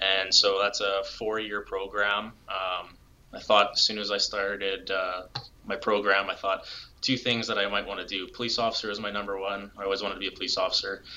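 A man with a Canadian accent, fairly low in pitch, at a fairly quick pace, in a monotone, flat intonation, with noticeable background noise. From Alberta, Canada. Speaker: police crime scene investigator. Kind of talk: interview.

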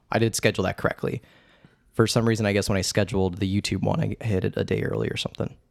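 A man speaks very fast with an American accent, his fairly low voice showing vocal fry. The sound is dry and close, with no echo. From Indiana, US Midwest. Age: 20s. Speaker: podcast host. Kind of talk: casual comedic chat about a movie. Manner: animated, jokey.

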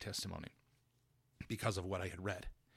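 Speaking with a Utah accent is a man. His pitch is fairly low. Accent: Utah American English. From US West, Carbon County, Utah. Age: 50s. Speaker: church member sharing faith story. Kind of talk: testimony. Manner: halting, with many fillers.

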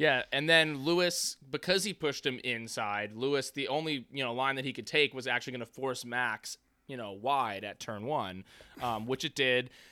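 An animated man with an American accent speaks in a bright, sharp tone with ordinary pitch variation, in a very clean recording with a silent background and a dry, close sound with no echo. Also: medium pitch for a man, moderate pace. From New York. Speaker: podcast host. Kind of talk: casual banter, comedic and profane. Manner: animated, joking.

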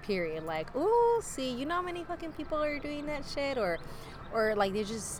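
Amid noticeable background noise and audible room echo, a woman with an American accent and high pitch speaks at a moderate pace with very wide pitch swings. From Northern California. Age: 30s. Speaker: podcast guest. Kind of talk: casual chat.

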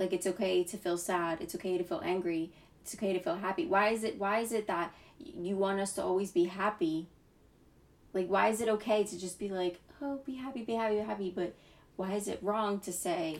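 A woman talks fairly quickly at a medium pitch, with ordinary pitch variation. It is an ordinary speaking voice. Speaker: podcast co-host. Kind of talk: casual chat.

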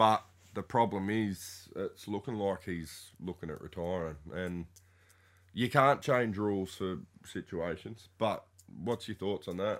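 A man speaks with an Australian accent in a fairly low pitch. His pace is fairly slow, and his pitch variation is ordinary. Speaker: sports podcast co-host. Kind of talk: casual chat.

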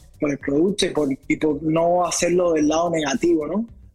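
Noticeable background noise sits behind the speech. A man with a high pitch talks at a fairly quick pace. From Cuba, Havana. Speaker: journalist and documentary maker. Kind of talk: interview conversation. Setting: remote call.

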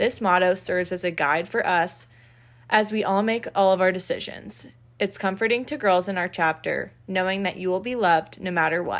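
A woman with an American accent and a plain, everyday voice, medium pitch, ordinary pitch variation and a moderate pace. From Florida, Naples. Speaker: sorority recruitment chair, college student. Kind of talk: scripted podcast segment.

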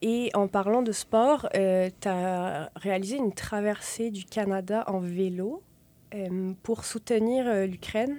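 With a dark, mellow tone, a woman speaks very slowly at medium pitch, her pitch varying in an ordinary way. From France and Quebec. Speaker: podcast host. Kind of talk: interview; scripted intro. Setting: studio.

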